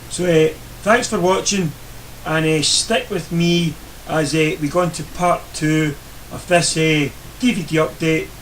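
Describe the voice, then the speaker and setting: A high-pitched male voice with a Scottish accent, ordinary pitch variation and a fairly slow pace, broken by long, frequent pauses, over noticeable background noise. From Scotland. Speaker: YouTuber reviewing DVD purchases. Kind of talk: casual video review. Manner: hesitant, many fillers.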